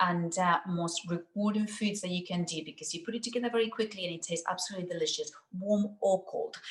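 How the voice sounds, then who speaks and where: A woman with a Spanish accent, somewhat breathy, at a fairly quick pace with lively intonation. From Spain. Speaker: nutritional therapist. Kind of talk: cooking demonstration. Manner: fast.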